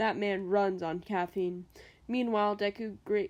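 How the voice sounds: Natural voice reading aloud, intonation fairly even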